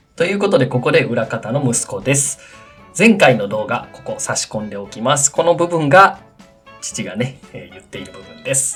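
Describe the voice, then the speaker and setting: With music in the background, a man with a fairly high pitch speaks at a moderate pace, his pitch swinging very widely and his loudness shifting a lot. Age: 30s. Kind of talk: after-recorded narration.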